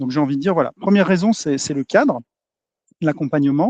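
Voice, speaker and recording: Fairly high male speech with ordinary pitch variation. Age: 40s. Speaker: entrepreneur, agency owner. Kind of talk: podcast interview. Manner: hesitant, many fillers.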